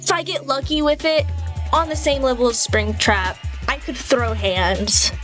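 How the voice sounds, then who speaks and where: A woman's voice with music in the background. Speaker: narrator. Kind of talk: casual commentary.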